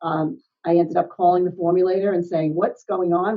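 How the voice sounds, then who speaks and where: A woman with medium pitch speaks at a fairly quick pace in an unremarkable speaking voice. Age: 60s. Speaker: health and wellness coach. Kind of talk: interview. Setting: podcast.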